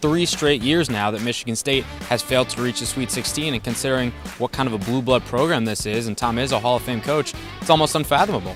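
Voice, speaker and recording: A man at medium pitch, upbeat and energetic, at a very fast pace with ordinary pitch variation over music in the background. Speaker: sports reporter. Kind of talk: TV sports reporter stand-up. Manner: upbeat, energetic.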